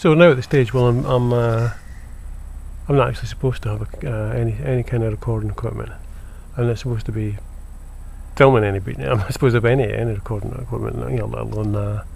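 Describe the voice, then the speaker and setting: A man talks very fast but with long, frequent pauses, his voice carrying audible room echo. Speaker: vlogger. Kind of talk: monologue rant to camera. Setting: indoors at home by window. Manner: halting, many fillers and repeats.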